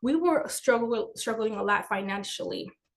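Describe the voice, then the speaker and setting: A woman talks in a Spanish accent, her pitch fairly high. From Dominican Republic. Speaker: finance educator and business owner. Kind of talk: webinar presentation.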